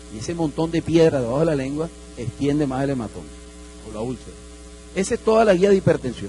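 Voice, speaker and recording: The speech moves at a very fast pace with lively intonation, broken by long, frequent pauses. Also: man, fairly high pitch for a man. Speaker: doctor lecturing at medical congress. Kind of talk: lecture.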